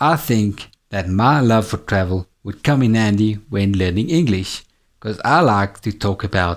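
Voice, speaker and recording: A man with a South African accent speaks at a moderate pace in a fairly low pitch, his tone upbeat. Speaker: English teacher. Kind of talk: tutor self-introduction to camera. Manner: friendly, upbeat.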